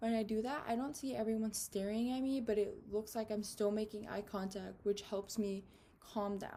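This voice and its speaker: Speaking at a moderate pace, a woman with a fairly high pitch has a dark, mellow tone, a somewhat breathy quality and fairly even intonation. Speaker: student. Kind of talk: class speech. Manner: nervous, shaky voice when presenting.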